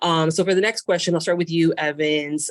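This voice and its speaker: Speaking in a Spanish accent, this woman has a fairly low pitch. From Miami. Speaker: guest podcast host. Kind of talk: casual chat.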